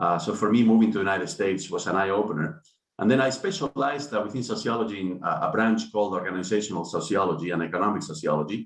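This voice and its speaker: Talking at a very fast pace with hardly any pauses, a man with a Spanish accent has a fairly low pitch and ordinary pitch variation. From Spain. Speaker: business school dean. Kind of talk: online panel discussion. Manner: halting, many fillers.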